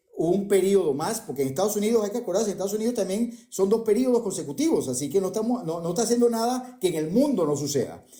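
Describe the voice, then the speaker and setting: A man's high-pitched voice at a very fast pace, with hardly any pauses and lively intonation. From Venezuela. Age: 60s. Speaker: economist. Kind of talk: debate.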